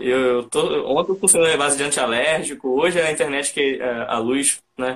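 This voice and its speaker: A man in a plain, everyday voice keeps a moderate pace with hardly any pauses, his fairly high pitch showing ordinary variation. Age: 20s. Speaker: podcast host and photographer. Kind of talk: live-stream interview. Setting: online live stream.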